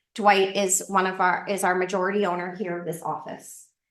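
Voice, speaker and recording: There is audible room echo around a woman's voice. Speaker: real estate investing instructor. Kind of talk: lecture. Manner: fast.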